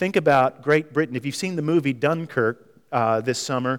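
A man speaks with ordinary pitch variation in an ordinary speaking voice. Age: 50s. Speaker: visiting preacher. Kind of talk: sermon. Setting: church.

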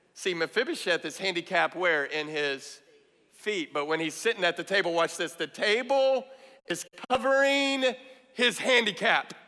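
Raising and projecting his high voice, a man speaks at a moderate pace with very wide pitch swings. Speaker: guest preacher. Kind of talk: sermon. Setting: church with congregation. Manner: animated; rhetorical, calling out to the congregation.

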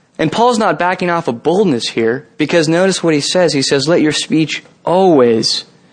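A man with a Californian accent, fairly high-pitched, lively in intonation, at a moderate pace. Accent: General American (Californian). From US West Coast, San Jose, California. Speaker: campus ministry leader, guest preacher. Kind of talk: sermon. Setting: church service with congregation.

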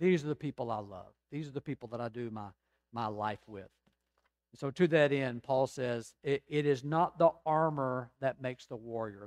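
A plain, everyday voice with an American accent speaks at a moderate pace with ordinary pitch variation and big swings in loudness. The sound is dry and close, with no echo. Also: man. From Georgia, US South. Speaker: pastor. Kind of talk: sermon.

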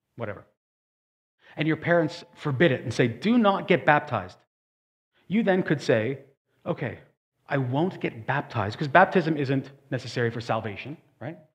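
A man's fairly high, somewhat breathy voice at a moderate pace, lively intonation and long, frequent pauses. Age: 40s. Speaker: pastor. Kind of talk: sermon.

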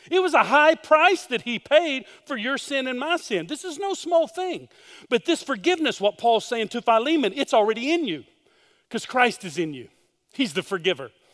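On a very clean recording with a silent background, a man talks at a moderate pace in an extremely high pitch that swings very widely. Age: 50s. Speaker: pastor. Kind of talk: sermon.

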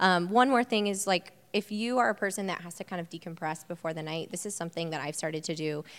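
Speaking at a very fast pace, a woman uses a fairly low voice with an American accent. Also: very clean recording, silent background. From Indiana (Bloomington). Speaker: fitness and nutrition coach. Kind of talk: panel talk.

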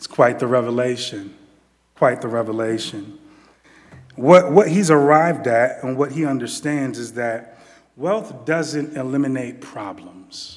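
An ordinary speaking voice at a fairly slow pace, with ordinary pitch variation and big swings in loudness. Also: man, medium pitch for a man. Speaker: preacher. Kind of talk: sermon. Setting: church. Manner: informal, laughing, repeats words.

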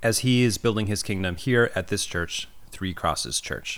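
This is an unremarkable speaking voice from a man, fairly low in pitch with ordinary pitch variation and a moderate pace, in a very clean recording with a silent background. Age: 30s. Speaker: pastor and podcast host. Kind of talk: casual chat; scripted intro.

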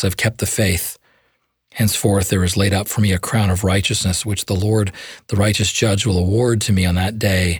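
Speaking at a fairly quick pace, a man sounds calm and somewhat breathy, with monotone, flat intonation, on a very clean recording with a silent background. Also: fairly low pitch for a man. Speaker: priest. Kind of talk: evening prayer service and story of a saint, liturgical reading. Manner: formal, calm, devotional.

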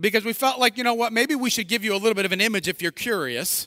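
Raised and projected, a man's high-pitched voice with a bright, sharp tone moves at a very fast pace with ordinary pitch variation, dry and close with no echo on a very clean recording with a silent background. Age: 40s. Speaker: pastor. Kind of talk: sermon. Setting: church.

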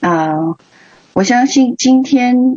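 A woman with a Chinese accent speaks with very wide pitch swings. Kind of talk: church exhortation. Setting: livestreamed online meeting. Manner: halting.

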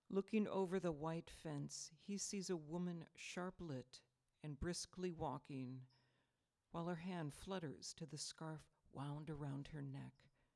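A woman speaks with a very deep, low pitch and a dark, mellow tone. She talks at a fairly slow pace with ordinary pitch variation. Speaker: poet and artist. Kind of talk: poem read aloud, slowly, in a church gathering. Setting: church congregation. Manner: slow, measured, deliberate.

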